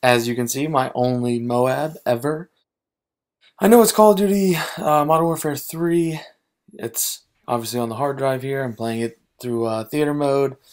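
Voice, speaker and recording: This is an ordinary speaking voice with an American accent, moving at a moderate pace with lively intonation. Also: man. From Maryland, USA. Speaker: gaming and sports YouTuber. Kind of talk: casual gaming and sports commentary.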